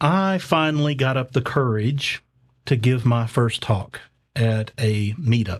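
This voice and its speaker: The speaker has a Southern US accent and talks at a fairly slow pace. Loudness stays very even, and the recording is very clean with a silent background. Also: man. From US South. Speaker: conference speaker. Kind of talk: conference talk. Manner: light-hearted, halting with fillers.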